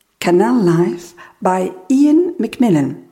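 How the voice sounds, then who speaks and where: A woman speaks at a medium pitch with very wide pitch swings. Her tone is dark, mellow and somewhat breathy. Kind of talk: poem reading aloud, first a French poem, then an English one. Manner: slow, measured, lyrical and contemplative, with pauses between images.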